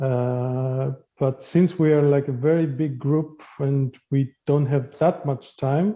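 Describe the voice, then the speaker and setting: Speaking at a very slow pace, a man with a Greek accent uses a fairly high pitch and fairly even intonation. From Greece. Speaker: diversity trainer. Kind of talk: workshop facilitation. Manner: hesitant, many fillers.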